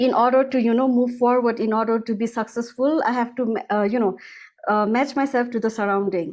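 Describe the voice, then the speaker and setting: With a Nepali accent, a woman speaks fairly quickly at a fairly high pitch, her intonation fairly even and her loudness very even, over a quiet background. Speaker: music school founder. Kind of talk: interview. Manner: halting, many fillers.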